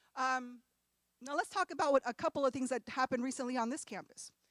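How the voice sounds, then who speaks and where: A woman's high voice with an American accent at a very fast pace, the sound dry and close with no echo. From California. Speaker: professor. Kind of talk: lecture.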